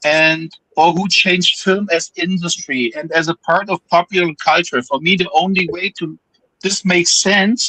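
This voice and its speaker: A man with a German accent talks at a moderate pace in a high pitch, with a bright, sharp tone and fairly even intonation. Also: dry, close sound with no echo. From Germany. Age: 40s. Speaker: film enthusiast panelist. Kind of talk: reading aloud; casual chat.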